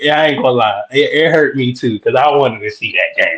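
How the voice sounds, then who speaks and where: The speaker is a man. His speech comes in a Southern US accent. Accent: Southern country drawl. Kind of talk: casual, colloquial.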